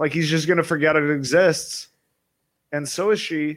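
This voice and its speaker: In a very clean recording with a silent background, a man with an ordinary speaking voice talks at a fairly high pitch and a moderate pace. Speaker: caller.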